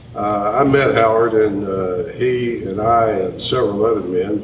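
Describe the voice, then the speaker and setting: Speaking at a fairly slow pace with fairly even intonation, a man with a fairly low voice and a Tennessee accent is heard over noticeable background noise and audible room echo. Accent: Southern US (Tennessee). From East Tennessee, US South. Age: 60s. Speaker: presidential candidate. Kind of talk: town hall interview. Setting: hotel event with audience.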